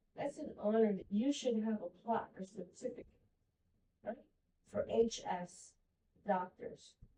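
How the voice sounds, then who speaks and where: The tone is dark and mellow, somewhat breathy, with ordinary pitch variation. Delivery is fairly slow, with long, frequent pauses. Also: woman, fairly high pitch for a woman. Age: 60s. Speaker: patient advocate. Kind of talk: support group sharing.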